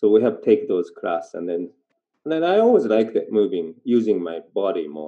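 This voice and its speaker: A man with a Japanese accent speaks at a fairly slow pace in a fairly low voice, his intonation lively. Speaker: dancer and theatre performer. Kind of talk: casual interview. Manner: halting.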